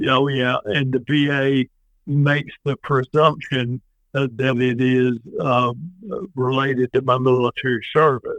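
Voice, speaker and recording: A man's monotone, flat delivery with a Tennessee accent. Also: medium pitch for a man, fairly slow pace, very even loudness. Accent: Tennessee Southern. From US South. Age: 60s. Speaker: former state politician and veteran. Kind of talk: podcast interview. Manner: halting with many fillers.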